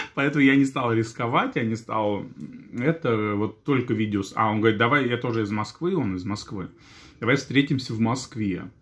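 A man talks with ordinary pitch variation, keeping a moderate pace. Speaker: vlogger. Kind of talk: casual vlog chat. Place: kitchen. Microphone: phone near.

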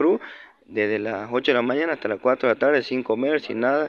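His intonation stays fairly even as the man speaks at a moderate pace. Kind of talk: complaint testimony to camera. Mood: aggrieved, indignant. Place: street. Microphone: phone near.

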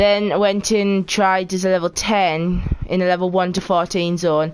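A woman talks with a Geordie accent. Her pace is moderate. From northeast England (Geordie). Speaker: video game streamer. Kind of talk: casual live-stream chat while gaming. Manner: animated. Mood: relaxed, chatty.

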